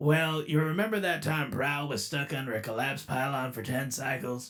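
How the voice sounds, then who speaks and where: Putting on a character voice, a man speaks at a medium pitch and a moderate pace. Music plays faintly in the background. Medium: dub. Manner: casual, wry.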